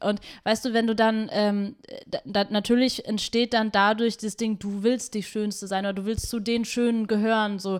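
The speech comes in a monotone, flat intonation on a very clean recording with a silent background. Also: woman, fairly high pitch for a woman, moderate pace. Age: 20s. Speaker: activist and DJ. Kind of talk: casual chat. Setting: host's kitchen.

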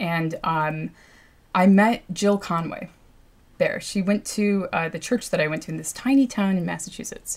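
A somewhat breathy woman in an American accent, at medium pitch with ordinary pitch variation and a moderate pace, on a very clean recording with a silent background. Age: 30s. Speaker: environmental activist and cartographer. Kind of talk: interview. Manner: many fillers and hesitations.

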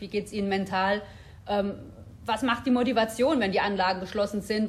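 A woman at medium pitch talks very fast with a somewhat breathy sound. Her intonation stays fairly even. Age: 30s. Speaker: health researcher, professor. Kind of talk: interview.

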